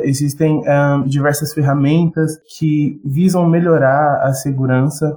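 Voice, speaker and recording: A man talks with fairly even intonation and a fairly high pitch. Background music accompanies him. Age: 20s. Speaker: junior security analyst. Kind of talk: casual chat.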